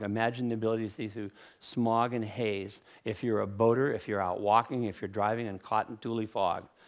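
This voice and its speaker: A man speaks with a fairly low pitch and a fairly quick pace. He has an unremarkable speaking voice. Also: very clean recording, silent background. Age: 60s. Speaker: inventor. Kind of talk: conference talk.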